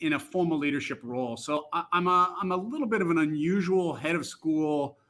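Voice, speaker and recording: A man's high, bright, sharp voice in an American accent at a moderate pace. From US Northeast, Boston. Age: 60s. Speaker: head of school. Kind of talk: casual interview. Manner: halting, many fillers.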